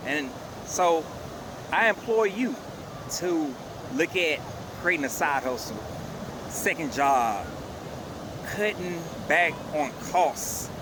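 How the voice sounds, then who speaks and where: The speech comes at a very slow pace with long, frequent pauses and lively intonation. Noticeable background noise runs underneath. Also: man, high pitch for a man. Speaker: investing podcast host. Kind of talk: casual podcast monologue. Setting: outdoors at the beach.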